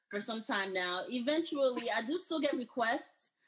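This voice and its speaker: A woman with fairly high pitch uses a plain, everyday voice with lively intonation. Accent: American. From United States, Haitian parents. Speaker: healthcare recruiter. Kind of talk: casual chat.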